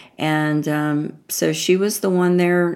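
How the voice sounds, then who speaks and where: A woman with an American accent and monotone, flat intonation. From US South. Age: 50s. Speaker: emotional healing educator and meditation teacher. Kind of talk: interview conversation.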